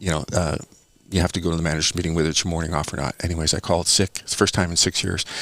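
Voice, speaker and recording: A man with a very deep, low voice, a Canadian accent and a very fast pace. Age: 60s. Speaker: small business owner. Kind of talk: podcast interview, storytelling. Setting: studio. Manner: halting, many fillers and repetitions.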